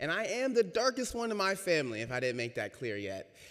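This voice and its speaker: This is a man speaking. He goes at a fairly quick pace. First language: Spanish. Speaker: racial equity trainer giving a church reflection. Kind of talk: talk from the pulpit. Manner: conversational, audience-engaging.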